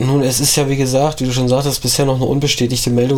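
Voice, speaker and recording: His pitch falls in the medium range. Background noise is noticeable behind him. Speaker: podcast co-host. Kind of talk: casual political discussion.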